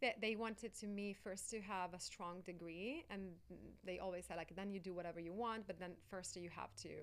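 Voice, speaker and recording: A woman speaks at a fairly quick pace with an Italian accent. Her pitch is medium and her intonation fairly even. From Italy, Sicily. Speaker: life coach and actress. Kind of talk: interview.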